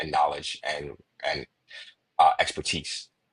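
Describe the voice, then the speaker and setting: Speaking at a fairly slow pace with a Chicago accent, a man comes through with a dry, close sound and no echo. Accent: Chicago American. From Chicago, USA. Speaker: sales enablement consultant. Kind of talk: podcast interview answer.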